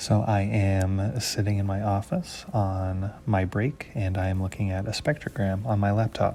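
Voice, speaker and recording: A man speaks with a dark, mellow tone at a fairly low pitch, somewhat breathy. His intonation is fairly even, his pace moderate, and there are hardly any pauses. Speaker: podcast host, music educator. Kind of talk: educational podcast narration. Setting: office.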